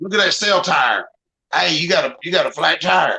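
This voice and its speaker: This is a raspy, put-on character voice in a Southern US accent, pitched in the middle. It moves at a moderate pace. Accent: Southern US drawl. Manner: demonstrating an accent.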